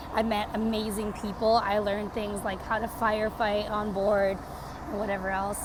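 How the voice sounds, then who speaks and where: A woman with a Canadian accent talks at a fairly quick pace and fairly high pitch. Audible room echo and noticeable background noise surround her. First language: Portuguese. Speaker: vlogger. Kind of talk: casual vlog update. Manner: casual, filler-heavy.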